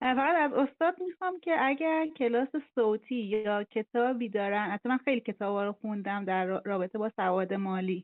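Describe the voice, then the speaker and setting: A woman's normal speaking voice, fairly high in pitch, with lively intonation, a moderate pace and hardly any pauses. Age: 40s. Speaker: office employee, caller. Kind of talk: question to guest.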